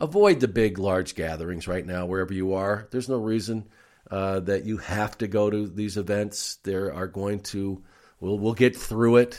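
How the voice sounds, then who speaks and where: With a plain, everyday voice, a man talks at a moderate pace and a fairly low pitch, his intonation fairly even, in a very clean recording with a silent background. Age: 60s. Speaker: wrestling podcast host, former wrestling interviewer. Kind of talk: casual watch-along commentary. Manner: relaxed, many filler words.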